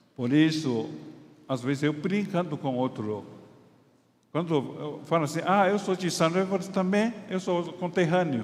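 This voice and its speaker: High-pitched, a man speaks at a fairly slow pace with long, frequent pauses and ordinary pitch variation. Audible room echo surrounds his voice. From Taiwan. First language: Chinese (speaking Portuguese). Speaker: pastor and doctor. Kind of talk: sermon. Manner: halting.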